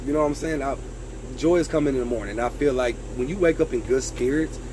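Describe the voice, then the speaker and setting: Noticeable background noise surrounds this man's voice. He speaks at a moderate pace. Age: 30s. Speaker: vlogger. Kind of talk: casual talking-head vlog. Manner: loud; animated.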